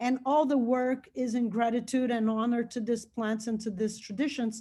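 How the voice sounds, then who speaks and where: With a Brazilian Portuguese accent, a woman speaks at a moderate pace in a high pitch, her tone dark and mellow and her intonation fairly even, on a very clean recording with a silent background. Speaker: researcher and nonprofit founder. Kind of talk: lecture. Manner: halting.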